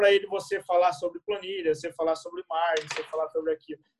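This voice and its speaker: A man talks at a fairly quick pace with lively intonation, his voice dry and close with no echo. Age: 20s. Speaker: e-commerce dropshipper. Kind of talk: podcast interview.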